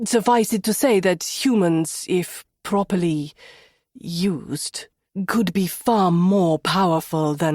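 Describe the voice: Here is plain reading aloud with ordinary pitch variation. The background is quiet.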